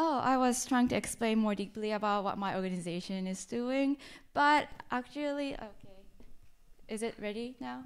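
In a Japanese accent, a woman speaks at a moderate pace with long, frequent pauses. Her voice is fairly high, with ordinary pitch variation. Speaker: university student. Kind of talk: presentation. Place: hall. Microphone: handheld.

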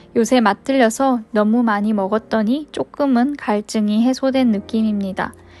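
Music plays in the background as a woman speaks. Her voice is fairly high, and her pace is fairly slow. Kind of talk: food review narration.

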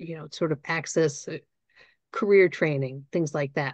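A woman speaks in a normal speaking voice, fairly low in pitch, at a moderate pace with lively intonation. The background is quiet. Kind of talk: training presentation. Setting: online webinar with live audience.

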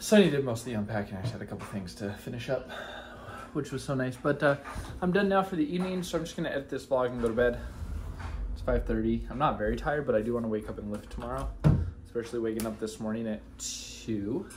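A somewhat breathy man talks at a very fast pace with lively intonation. Light background noise can be heard. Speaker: vlogger. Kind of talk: casual vlog chat. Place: home room. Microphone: phone near.

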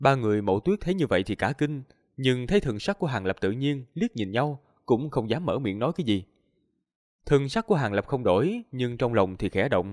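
Against a quiet background, a man speaks at a fairly quick pace with very wide pitch swings. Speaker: audiobook narrator. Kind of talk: story reading narration. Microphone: studio mic.

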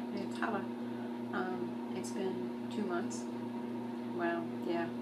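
A woman speaks against loud background noise. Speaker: video blogger. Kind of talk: video diary monologue. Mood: wry, reflective, self-deprecating. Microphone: phone near.

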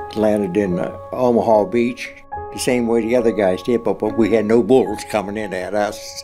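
Clear music plays in the background. Over it, a man speaks with fairly even intonation. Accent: American. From Rochester, Pennsylvania. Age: 80s+. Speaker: war veteran. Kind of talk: oral history interview answer. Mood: somber, reflective. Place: studio.

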